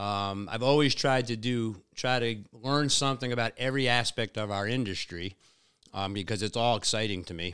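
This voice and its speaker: Over a very clean recording with a silent background, a man with an American accent speaks in a plain, everyday voice at medium pitch, with ordinary pitch variation and a moderate pace. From Long Island, New York. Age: 50s. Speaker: fishing mate and tournament director. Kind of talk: casual interview. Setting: in person.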